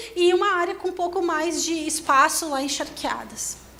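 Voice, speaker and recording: A woman at a moderate pace with ordinary pitch variation and audible room echo. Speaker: engineer and industry researcher. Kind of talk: conference presentation. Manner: hesitant, many fillers.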